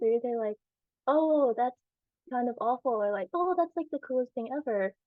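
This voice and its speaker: Ordinary pitch variation from a woman with an American accent. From US South, South Carolina. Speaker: adoptee panelist. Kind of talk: casual chat.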